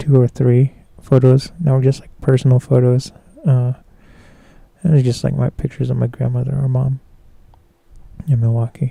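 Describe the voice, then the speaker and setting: A somewhat breathy man with a medium pitch and a dark, mellow tone speaks at a moderate pace in monotone, flat intonation, with long, frequent pauses and big swings in loudness, in a dry, close sound with no echo. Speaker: photographer and live streamer. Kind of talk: casual live stream commentary. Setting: live stream. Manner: hesitant, many fillers.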